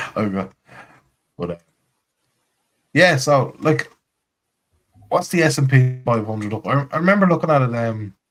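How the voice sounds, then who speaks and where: A man with an Irish accent speaks at a medium pitch with lively intonation. He leaves long, frequent pauses. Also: moderate pace. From Ireland. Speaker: crypto community space host. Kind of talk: casual chat.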